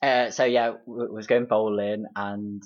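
The speaker has an East Midlands accent. The intonation is monotone and flat. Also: man. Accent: Derby East Midlands English. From Derby, England. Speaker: friend and guest chatting about dates. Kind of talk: casual chat.

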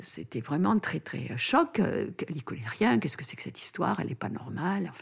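A woman talks at a fairly quick pace in a very deep, low voice, her pitch swinging very widely. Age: 70s. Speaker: doctor and author on pregnancy and postpartum care. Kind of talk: interview. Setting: in-person studio recording with masks over the mics.

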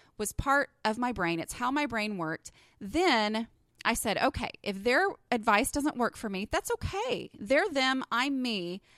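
Lively intonation and a slight Texan accent come through a dry, close sound with no echo on a very clean recording with a silent background. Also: woman. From Texas. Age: 30s. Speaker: podcast host and blogger. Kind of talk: solo podcast monologue, casual and personal. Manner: casual, chatty, warm.

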